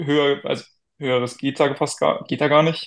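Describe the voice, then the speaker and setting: This is an ordinary speaking voice with fairly even intonation, delivered at a moderate pace. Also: man. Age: 20s. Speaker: American football player. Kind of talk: casual chat.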